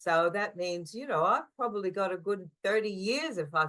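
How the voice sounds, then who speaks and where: A woman speaks in an Australian accent at a medium pitch. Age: 60s. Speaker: ukulele player. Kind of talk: podcast interview.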